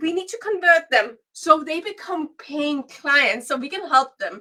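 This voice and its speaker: A woman speaks in a raised, projected voice at an extremely high pitch, going at a fairly slow pace with lively intonation and big swings in loudness. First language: Danish and Swedish. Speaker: business coach. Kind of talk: webinar training livestream. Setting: livestream.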